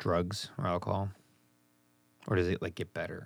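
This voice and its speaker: A man's very deep, low voice in an American accent is captured on a very clean recording with a silent background. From US Midwest. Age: 30s. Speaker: podcast host. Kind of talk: casual interview chat.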